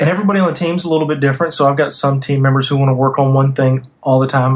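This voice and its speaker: With noticeable background noise behind him, a man with a Southern US accent talks at a very fast pace with fairly even intonation. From US South, North Louisiana. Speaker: design agency owner. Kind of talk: interview.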